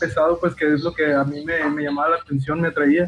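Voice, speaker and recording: A man's voice amid noticeable background noise. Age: 20s. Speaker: rock band bassist. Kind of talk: casual interview chat. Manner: halting, with frequent repetitions.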